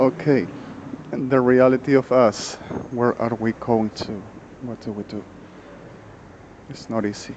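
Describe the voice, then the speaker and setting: A man with a non-native accent speaks with fairly even intonation, big swings in loudness, and long, frequent pauses over noticeable background noise. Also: medium pitch for a man, fairly slow pace. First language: Spanish. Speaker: vlogger. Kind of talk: monologue vlog. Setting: outdoors on a street. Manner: halting.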